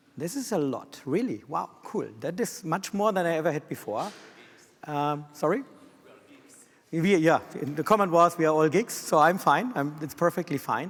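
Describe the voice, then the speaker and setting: This man speaks with a German accent. His pitch is high and his intonation lively. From Germany. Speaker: systems engineer. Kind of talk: conference presentation. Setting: stage with audience. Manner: fast.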